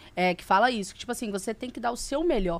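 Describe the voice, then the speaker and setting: The background is silent and the recording very clean. A woman talks with ordinary pitch variation. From Brazil, Minas Gerais (Governador Valadares). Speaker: podcast host. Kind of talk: casual chat.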